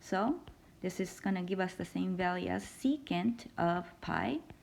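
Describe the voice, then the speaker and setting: A woman's medium-pitched voice with vocal fry. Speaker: math instructor. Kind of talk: lecture.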